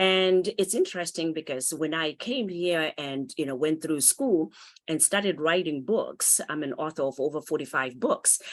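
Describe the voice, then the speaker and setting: With a Zimbabwean accent, a woman speaks at a moderate pace in a very deep, low pitch, her intonation lively and the background quiet. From Zimbabwe (Harare township). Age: 50s. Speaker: author and motivational speaker. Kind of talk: interview.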